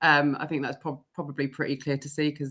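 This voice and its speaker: A woman is speaking. She has an English accent. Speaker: events professional and live show host. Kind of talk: casual live-stream chat. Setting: live video stream. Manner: energetic.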